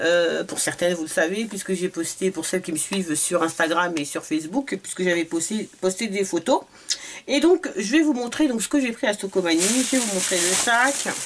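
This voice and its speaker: Against noticeable background noise, a woman talks at a moderate pace and a medium pitch with lively intonation. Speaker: beauty vlogger. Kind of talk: product haul review. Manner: hesitant, many fillers.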